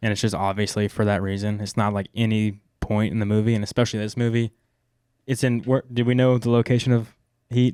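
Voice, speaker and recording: Speaking with an American accent, a man talks at a fairly quick pace in a fairly low pitch. His tone is dark and mellow, and the sound is dry and close with no echo. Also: very clean recording, silent background. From US South, small town. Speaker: podcast host, movie reviewer. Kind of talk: casual chat. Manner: animated.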